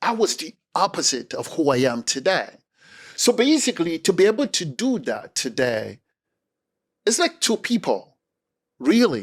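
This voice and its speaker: A man with a Cameroonian accent speaks at a moderate pace with very wide pitch swings, on a very clean recording with a silent background. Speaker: speaker and communication coach. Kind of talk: interview conversation. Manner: energetic.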